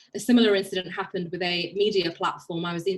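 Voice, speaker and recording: Ordinary pitch variation with a Birmingham accent. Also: woman. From England, Birmingham. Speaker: barrister. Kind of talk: panel talk.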